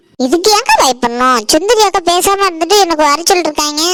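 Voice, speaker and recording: A woman puts on a cartoonish character voice at an extremely high pitch, with lively intonation. She keeps a moderate pace and very even loudness. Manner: easygoing, warm.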